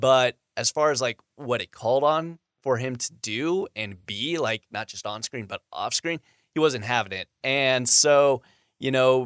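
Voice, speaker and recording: This is a plain, everyday voice at a moderate pace with ordinary pitch variation. The very clean recording has a silent background and a dry, close sound with no echo. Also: man. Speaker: film discussion panelist. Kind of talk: casual chat. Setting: studio.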